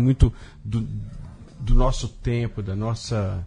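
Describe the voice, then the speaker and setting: A man with a dark, mellow tone and fairly low pitch speaks in a somewhat breathy, monotone, flat way. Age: 50s. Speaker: writer and comics artist. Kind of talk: casual interview chat.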